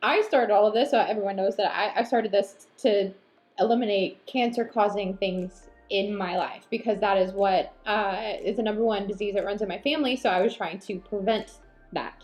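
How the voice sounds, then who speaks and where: A woman's intonation stays fairly even while music plays behind her. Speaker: lifestyle vlogger. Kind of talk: casual chat. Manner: halting.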